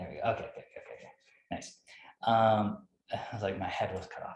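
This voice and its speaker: A man's somewhat breathy voice carries audible room echo. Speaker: yoga teacher. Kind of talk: instructional class.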